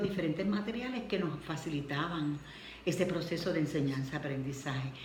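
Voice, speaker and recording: A woman in a Puerto Rican accent at a fairly quick pace, with ordinary pitch variation and noticeable background noise. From Puerto Rico. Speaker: retired schoolteacher. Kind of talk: interview answer.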